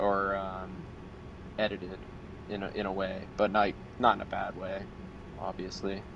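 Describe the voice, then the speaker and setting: A man with a fairly low pitch and monotone, flat intonation, long, frequent pauses, and noticeable background noise. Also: moderate pace. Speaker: metal band vocalist. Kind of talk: interview. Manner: halting.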